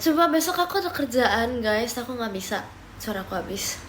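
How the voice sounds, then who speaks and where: With noticeable background noise and audible room echo, a woman talks in a high voice. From Papua, Indonesia (Timika). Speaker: live streamer. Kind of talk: casual live stream chat. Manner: casual, mixing Indonesian and English.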